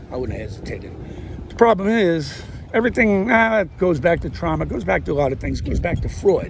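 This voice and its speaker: A man rushes along at a very fast pace over noticeable background noise. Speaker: vlogger, amateur comedian. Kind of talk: casual monologue to camera. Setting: outdoors, walking. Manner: loud; rambling, animated.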